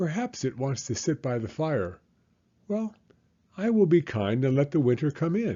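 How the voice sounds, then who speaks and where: Using a put-on character voice, a man speaks at a moderate pace with fairly high pitch and long, frequent pauses. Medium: read story. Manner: earnest, a little fussy.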